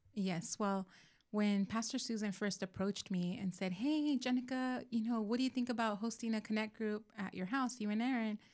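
With an American accent, a woman talks in a somewhat breathy, fairly high voice at a moderate pace and with fairly even intonation. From Southern California. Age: 40s. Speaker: church small group leader. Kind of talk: casual chat.

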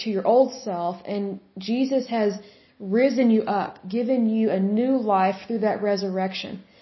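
A fairly high, somewhat breathy female voice at a fairly slow pace, with fairly even intonation. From Oklahoma. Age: 30s. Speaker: podcast host, Bible teacher. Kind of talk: solo Bible study podcast.

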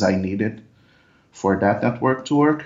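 A man with a Portuguese accent and ordinary pitch variation. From Brazil. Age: 20s. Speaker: software developer. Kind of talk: interview. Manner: halting.

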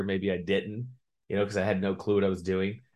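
Against a quiet background, a man speaks in a fairly low pitch. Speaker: business executive. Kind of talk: casual interview. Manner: fast; animated.

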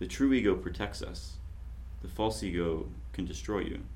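The voice carries vocal fry and swings very widely in pitch. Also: man. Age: 40s. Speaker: podcast host. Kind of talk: casual chat.

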